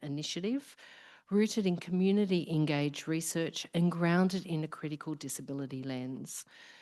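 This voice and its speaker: In an Australian accent, a woman talks at a fairly quick pace with a very deep, low pitch. Her pitch varies an ordinary amount against a quiet background. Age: middle-aged. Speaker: professor, research program director. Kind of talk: opening speech at symposium. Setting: live event with audience.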